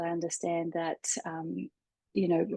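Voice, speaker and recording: A dark, mellow tone moves at a fairly slow pace, with a dry, close sound that has no echo. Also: woman. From Australia. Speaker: life coach and therapist. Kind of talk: interview conversation.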